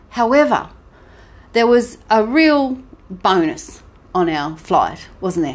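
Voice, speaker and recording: A woman with an Australian accent speaks in an animated tone with lively intonation. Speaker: podcast co-host. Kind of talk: casual chat.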